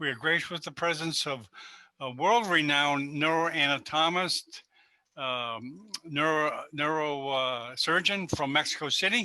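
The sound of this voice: Speaking at a fairly slow pace, the man has a fairly high pitch, a bright, sharp tone and ordinary pitch variation.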